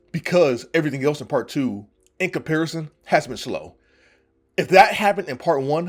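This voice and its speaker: Over music in the background, a man with a fairly high pitch speaks at a fairly quick pace with lively intonation. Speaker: vtuber manga reviewer. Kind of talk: casual review rant. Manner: stuttering, repetitive; animated, passionate.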